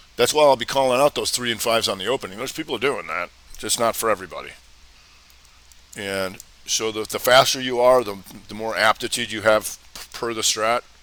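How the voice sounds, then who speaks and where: Amid noticeable background noise, a man at medium pitch talks at a fairly quick pace with fairly even intonation, big swings in loudness and long, frequent pauses. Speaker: trading educator. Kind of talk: live Q&A webinar. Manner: casual; fast.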